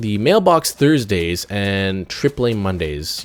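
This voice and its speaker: A man speaks in a fairly low voice over noticeable background noise. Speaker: gaming YouTuber. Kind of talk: let's play commentary. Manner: halting, repetitive stammering.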